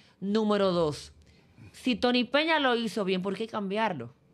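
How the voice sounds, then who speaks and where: A woman speaks at a very slow pace. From Dominican Republic. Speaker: sports journalist. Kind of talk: casual interview. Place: studio. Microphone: studio mic.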